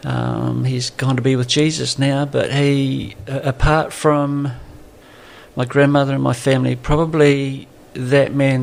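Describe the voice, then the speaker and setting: Over noticeable background noise, a man in a southern New Zealand accent speaks at a fairly slow pace. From New Zealand, Southland. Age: 60s. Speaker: pastor. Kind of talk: podcast interview.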